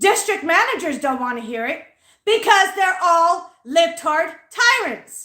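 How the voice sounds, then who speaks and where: A woman speaks at an extremely high pitch in a raised, projected voice, with a bright, sharp, animated tone. Her pitch swings very widely while her pace stays fairly slow. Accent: American. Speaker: livestreamer. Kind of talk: angry rant on a livestream. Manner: loud.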